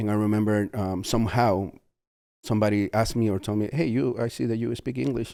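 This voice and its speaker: On a very clean recording with a silent background, a man speaks in a fairly low voice with a dark, mellow tone and ordinary pitch variation. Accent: Spanish. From Peru. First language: Spanish. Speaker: mission trip volunteer leader. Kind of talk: podcast interview. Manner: halting.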